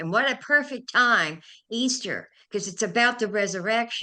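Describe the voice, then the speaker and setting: Against a quiet background, a woman with an American accent speaks at a fairly slow pace. Her tone is bright and sharp, with ordinary pitch variation. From California. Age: 70s. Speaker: inspirational speaker. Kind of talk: interview.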